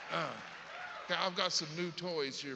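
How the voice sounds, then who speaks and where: Over crowd noise and audible room echo, a man talks in a Southern US accent. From US South. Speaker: comedian. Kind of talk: stand-up. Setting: stage with audience.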